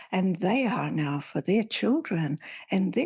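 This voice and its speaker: The speech moves at a fairly slow pace with a somewhat breathy quality. Pitch swings very widely throughout. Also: woman. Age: 70s. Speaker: spiritual teacher and author. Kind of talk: interview.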